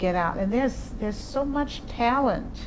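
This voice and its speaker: A woman speaks at a fairly slow pace with audible room echo around her and noticeable background noise. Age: 60s. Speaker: jazz singer and voice teacher. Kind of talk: casual interview chat.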